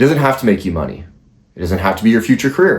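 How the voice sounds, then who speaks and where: A man speaks at a medium pitch in a somewhat breathy voice. His pitch swings very widely. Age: 20s. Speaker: YouTuber. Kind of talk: motivational monologue.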